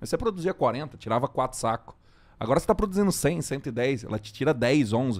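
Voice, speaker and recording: A man with a normal speaking voice, fairly high in pitch, lively in intonation, at a moderate pace. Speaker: agronomist podcast host. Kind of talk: casual interview-style podcast chat.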